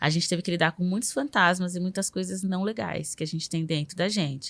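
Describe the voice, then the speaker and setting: A woman with an unremarkable speaking voice talks at a fairly quick pace and fairly low pitch with ordinary pitch variation, in a very clean recording with a silent background. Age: 30s. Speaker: journalist. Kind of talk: casual interview conversation.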